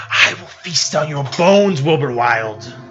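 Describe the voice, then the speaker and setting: Using a put-on, robotic character voice, a man talks at a fairly high pitch and a moderate pace. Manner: menacing, slow.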